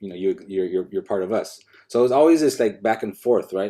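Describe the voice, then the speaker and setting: The voice has a dark, mellow tone and ordinary pitch variation. It moves at a very fast pace. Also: man. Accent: American. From Los Angeles, Echo Park. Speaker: professor. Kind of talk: academic panel conversation. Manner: halting, many repetitions and fillers.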